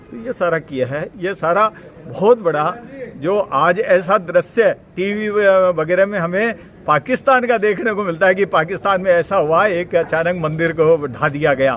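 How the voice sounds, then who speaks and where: Noticeable background noise behind a high male voice. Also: ordinary pitch variation. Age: 60s. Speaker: local resident. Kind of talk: media statement.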